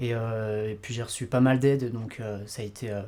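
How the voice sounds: A man talks at a moderate pace in a slightly mellow tone, his pitch moving very little.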